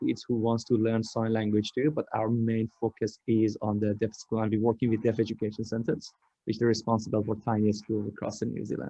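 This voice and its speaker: A man in a Persian accent. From Iran. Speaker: tech startup founder. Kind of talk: online panel presentation.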